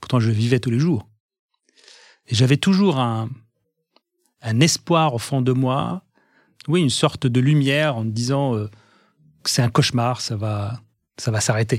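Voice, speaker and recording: Very slowly, a man speaks in a medium pitch with ordinary pitch variation. The recording is very clean, with a silent background. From Egyptian family, raised in Algiers, Algeria. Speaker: pharmaceutical industry executive. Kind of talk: interview testimony. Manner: halting, many repetitions and hesitations.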